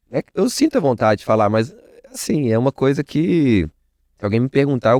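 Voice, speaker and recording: With a Minas Gerais accent, a man speaks at a medium pitch in a dark, mellow tone with lively intonation, the sound dry and close with no echo over a quiet background. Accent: Mineiro (Minas Gerais) Portuguese. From Minas Gerais, Brazil. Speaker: networking entrepreneur. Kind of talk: podcast interview. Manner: casual, conversational.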